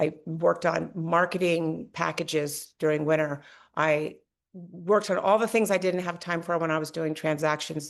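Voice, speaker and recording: A woman's fairly low voice with vocal fry, monotone, flat intonation, and a moderate pace over a quiet background. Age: 60s. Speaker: realtor. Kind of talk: podcast interview.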